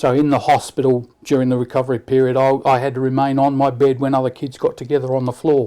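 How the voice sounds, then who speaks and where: A man speaks very fast in a dark, mellow tone at a medium pitch. His intonation is monotone and flat, with hardly any pauses. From Leicester, English Midlands, moved to Australia at 10. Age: 60s. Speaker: church member interviewee. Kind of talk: interview about life and faith. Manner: halting, many repetitions.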